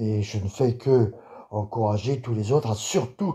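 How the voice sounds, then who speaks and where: The tone is dark and mellow and somewhat breathy, with ordinary pitch variation. Everything sits on a very clean recording with a silent background. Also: man. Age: 60s. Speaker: political video blogger. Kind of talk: video monologue. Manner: halting.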